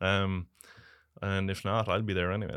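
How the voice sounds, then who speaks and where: Here is a man with a Galway accent. His voice is fairly low and monotone, with flat intonation. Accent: Irish, Galway. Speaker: racing superfan. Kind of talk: interview. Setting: studio. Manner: laughs often.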